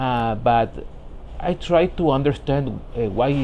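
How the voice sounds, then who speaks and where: Noticeable background noise sits behind a man speaking with a Spanish accent. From Ecuador. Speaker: vlogger, professional immigrant. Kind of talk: personal vlog monologue. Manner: halting, many repetitions and fillers.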